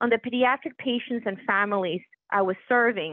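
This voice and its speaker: A woman's fairly high voice with a Puerto Rican accent. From Puerto Rico. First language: Spanish. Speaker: physician executive. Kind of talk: interview. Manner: formal.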